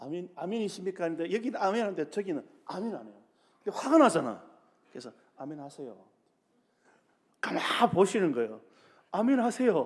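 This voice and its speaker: A man with a high pitch talks at a fairly quick pace, with very wide pitch swings, big shifts in loudness and long, frequent pauses. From South Korea, Busan. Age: 60s. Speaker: pastor. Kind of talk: sermon. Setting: church.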